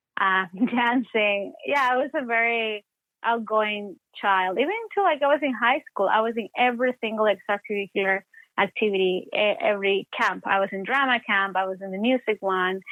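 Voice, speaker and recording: A woman with an Ecuadorian accent, fairly high-pitched, at a moderate pace and with ordinary pitch variation. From Ecuador, Guayaquil. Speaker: actor and playwright. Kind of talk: interview.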